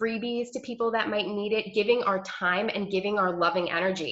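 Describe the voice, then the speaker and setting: A woman speaks with an American accent at a moderate pace and a medium pitch. Her tone is animated, with ordinary pitch variation. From New York. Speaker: health coach. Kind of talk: team training call.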